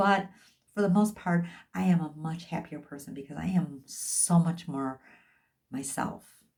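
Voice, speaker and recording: Somewhat breathy, the voice moves at a fairly slow pace with long, frequent pauses and ordinary pitch variation, in a very clean recording with a silent background. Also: woman, fairly low pitch for a woman, big swings in loudness. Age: 60s. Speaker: life and health coach. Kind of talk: motivational talk.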